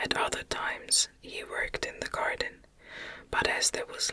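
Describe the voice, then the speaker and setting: Someone whispers in a soothing tone at a moderate pace, with noticeable background noise behind them. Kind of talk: ASMR whisper reading of a classic novel, bedtime story. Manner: whispered, soft, soothing.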